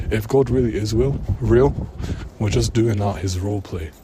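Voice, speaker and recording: A man's fairly low voice at a fairly slow pace, with noticeable background noise. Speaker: vlogger. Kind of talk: personal vlog rant. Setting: in public. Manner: hushed, low voice; hesitant, filler-heavy. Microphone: bad mic quality.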